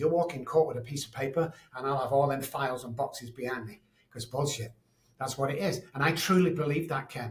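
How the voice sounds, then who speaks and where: With a Manchester accent, a man speaks at a fairly quick pace in a fairly high, somewhat breathy voice. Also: ordinary pitch variation, big swings in loudness. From Manchester, England. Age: 60s. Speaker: addiction expert and psychologist. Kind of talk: interview. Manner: animated.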